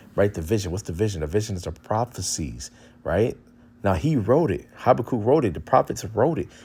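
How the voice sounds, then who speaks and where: In a very clean recording with a silent background, a man speaks with vocal fry and very wide pitch swings. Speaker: street preacher / religious commentator. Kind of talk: religious teaching with scripture reading. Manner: halting, many repetitions and fillers.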